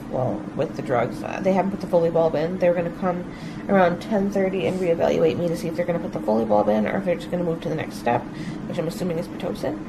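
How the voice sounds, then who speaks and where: Over loud background noise, a woman is talking. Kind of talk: casual vlog chat. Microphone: phone near.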